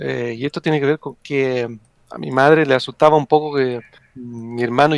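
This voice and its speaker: A man with a fairly high pitch speaks with fairly even intonation in a dry, close sound with no echo. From Italy. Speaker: psychologist and wargamer. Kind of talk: podcast interview.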